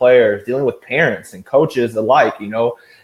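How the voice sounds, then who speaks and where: Here a man speaks at a fairly quick pace. His pitch sits in the medium range. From US Midwest, St. Louis, Missouri. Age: 20s. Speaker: football coach and player. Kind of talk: interview. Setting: live video interview.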